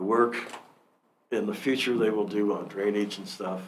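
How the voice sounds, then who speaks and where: A man talks in a fairly low pitch. There is audible room echo. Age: 60s. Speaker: public commenter, volunteer firefighter. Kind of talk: public comment at council meeting. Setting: county commission meeting room. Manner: halting, many fillers and restarts.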